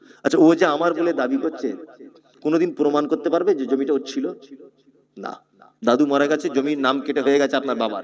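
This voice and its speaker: An ordinary speaking voice comes from a man pitched fairly high, and his pitch varies in an ordinary way. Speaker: Islamic preacher giving a waz sermon. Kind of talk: Islamic sermon (waz) to a live audience. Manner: rhetorical, questioning the audience, lively.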